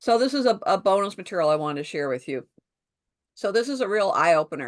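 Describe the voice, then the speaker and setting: A woman's medium-pitched voice at a very fast pace, with very wide pitch swings. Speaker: sales trainer. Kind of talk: online training session.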